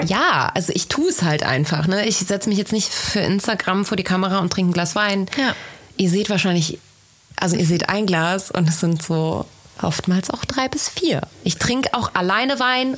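With lively intonation and very even loudness, a woman speaks at a moderate pace and medium pitch over noticeable background noise. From Rhineland, Bergisch Gladbach near Cologne. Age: 20s. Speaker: podcast host, social media marketing consultant. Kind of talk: casual chat.

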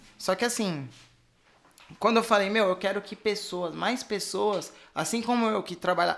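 Pitched high for a man, his voice moves at a moderate pace with ordinary pitch variation. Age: 20s. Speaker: financial educator. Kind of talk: casual chat.

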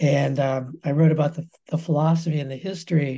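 At a fairly quick pace, a man with an American accent speaks in a fairly high pitch, his dark, mellow tone somewhat breathy and his intonation fairly even. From US West (Colorado). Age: 70s. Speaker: professor emeritus of fine arts. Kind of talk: interview conversation.

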